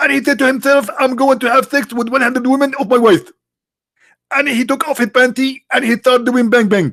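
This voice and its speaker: At a fairly quick pace, a man with an Arabic accent speaks at an extremely high pitch. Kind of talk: polemical livestream commentary. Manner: animated, sarcastic.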